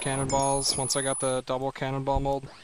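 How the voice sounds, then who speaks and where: Through noticeable background noise, a man speaks with a fairly high pitch. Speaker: video game streamer. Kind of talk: casual live stream commentary while gaming. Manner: relaxed, casual with filler words.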